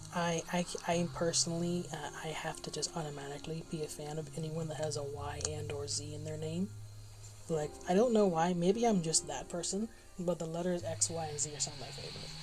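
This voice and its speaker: A woman with a very deep, low pitch mumbles at a fairly quick pace, with ordinary pitch variation. Noticeable background noise is present. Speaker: gaming streamer. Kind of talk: casual live stream chat. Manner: soft-spoken, quieter than others; mumbling. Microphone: low mic level, quieter than others.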